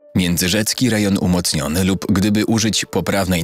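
Fairly low male pitch at a moderate pace, over noticeable background noise. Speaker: voice-over narrator. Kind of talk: documentary narration.

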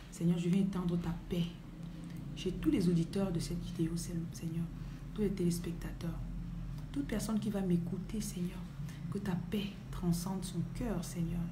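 Fairly low woman's voice at a fairly slow pace, broken by long, frequent pauses, over noticeable background noise. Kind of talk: livestream sermon and prayer. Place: home room. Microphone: phone near.

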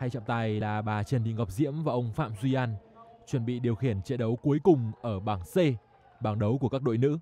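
The sound is dry and close, with no echo. A man speaks at a very fast pace. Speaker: volleyball commentator. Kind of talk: live sports commentary on a volleyball match. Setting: indoor sports hall. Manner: matter-of-fact, brisk play-by-play, calling each point and score in an even tone.

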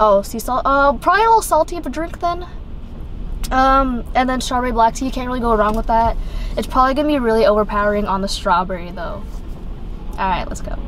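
A woman talks at a very fast pace in a high pitch, with a dry sound that has no echo and light background noise behind her. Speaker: co-host of a drink review channel. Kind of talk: casual review chat. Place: car. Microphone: phone near.

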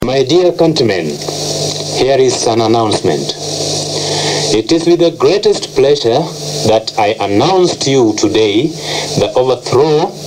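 Noticeable background noise sits behind a man at a medium pitch. He speaks fairly slowly, with very wide pitch swings. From Kenya. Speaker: air force rebel soldier. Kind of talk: radio broadcast announcement. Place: studio. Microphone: old recording.

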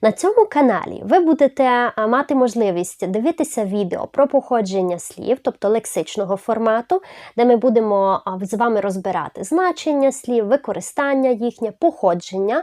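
The voice has a dark, mellow tone and lively intonation at a moderate pace, recorded with a dry, close sound with no echo against a quiet background. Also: woman, fairly high pitch for a woman. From Zakarpattia, western Ukraine. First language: Hungarian (speaking Ukrainian). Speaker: language teacher, YouTuber. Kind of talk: channel introduction video.

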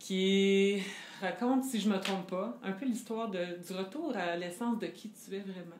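With a Quebec accent, a woman speaks with ordinary pitch variation in a room with audible echo and light background noise. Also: fairly slow pace. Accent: Québécois French. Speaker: interviewer. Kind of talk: interview. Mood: warm, engaged. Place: home room.

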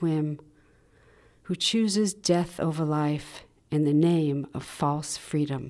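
A woman speaks in a dark, mellow, dramatic tone against a quiet background. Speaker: poet. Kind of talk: poetry reading at a gallery. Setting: art gallery with audience. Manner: measured, dramatic, expressive poetry delivery with pauses. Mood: tender, sorrowful. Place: hall.

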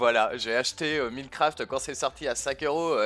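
A male voice is heard. He talks at a fairly slow pace. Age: 20s. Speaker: gaming YouTuber; gaming youtuber. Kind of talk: casual Q&A to camera. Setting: facecam recording. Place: home room. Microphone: headset.

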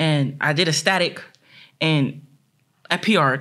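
Against a quiet background, a woman speaks in an animated tone. Her pitch is very deep and low, with ordinary variation. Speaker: discus thrower, world champion athlete. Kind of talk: casual interview. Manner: animated, excitable. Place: studio. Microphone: studio mic.

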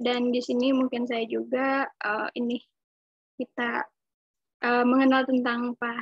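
Monotone, flat intonation at a fairly slow pace, in a dry sound with no echo and a quiet background. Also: woman. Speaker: webinar moderator. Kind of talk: webinar moderation. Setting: video call, working from home. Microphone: webcam.

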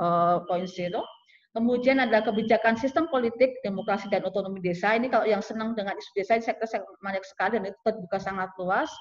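Against a quiet background, a woman speaks very fast at a fairly high pitch, her loudness swinging widely. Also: ordinary pitch variation. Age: middle-aged. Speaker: sociology department head; webinar presenter, lecturer. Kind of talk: lecture. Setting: video call. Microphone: video call.

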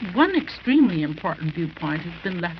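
A plain, everyday voice with an American accent speaks at a moderate pace, with lively intonation. Light background noise can be heard. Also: woman. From US. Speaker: women's council president. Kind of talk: formal prepared speech. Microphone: old recording.

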